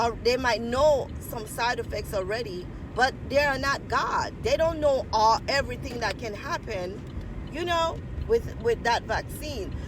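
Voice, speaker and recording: Noticeable background noise runs under the recording. The speaker talks at a fairly slow pace. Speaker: vlogger. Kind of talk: casual vlog monologue. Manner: halting, self-described mumbling.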